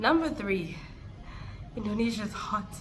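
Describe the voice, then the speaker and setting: Over noticeable background noise and audible room echo, a woman speaks at a fairly slow pace with very wide pitch swings. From South Africa. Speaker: vlogger. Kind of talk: casual vlog talk.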